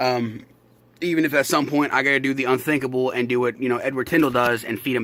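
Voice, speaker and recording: Over noticeable background noise, a man speaks at a very fast pace with monotone, flat intonation. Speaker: reptile keeper vlogger. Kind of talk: casual vlog update. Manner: exaggerated open-mouthed articulation; casual, filler-heavy, swearing.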